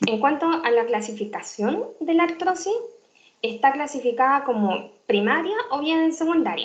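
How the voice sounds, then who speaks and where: Lively intonation runs through a woman's speech. Audible room echo surrounds her voice. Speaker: physician lecturer. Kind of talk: lecture. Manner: fast.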